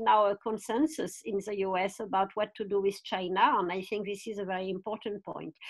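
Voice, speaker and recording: A woman with a French accent at a moderate pace. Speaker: foreign policy expert. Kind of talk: panel discussion. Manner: hesitant, many fillers.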